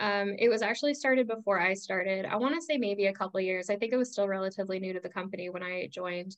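Here is a woman with an unremarkable speaking voice. Her pitch is medium, with ordinary variation. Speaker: executive assistant. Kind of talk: podcast panel discussion.

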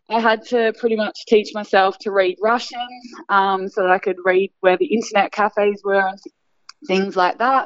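A woman with an Australian accent speaks at a moderate pace, her medium-pitched voice keeping a fairly even intonation. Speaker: basketball coach and former player. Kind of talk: interview.

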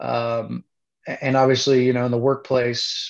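A man speaks at a fairly slow pace with a Midwestern American accent, his medium-pitched voice monotone and flat in intonation. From Indiana (Kokomo). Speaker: plant manager. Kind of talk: casual interview.

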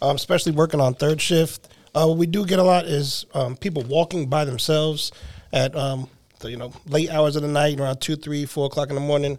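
A man talks at a fairly quick pace in a normal speaking voice, his fairly high pitch moving with ordinary variation. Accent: American. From New Jersey. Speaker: campus security supervisor, army veteran. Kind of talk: interview.

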